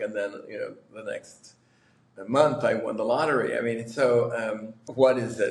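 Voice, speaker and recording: A man with an American accent at a moderate pace, with audible room echo. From New York. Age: 60s. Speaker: lottery winner. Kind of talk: interview. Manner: halting, many fillers.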